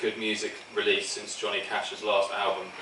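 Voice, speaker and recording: A man with a British accent speaks at a fairly quick pace. The recording carries audible room echo and noticeable background noise. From England. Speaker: best man. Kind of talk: wedding speech. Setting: wedding reception with audience.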